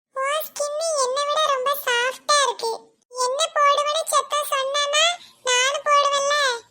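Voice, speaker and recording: Using a cartoonish character voice, a woman speaks extremely high-pitched, very slowly and in a flat monotone. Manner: chatty, dramatic, complaining.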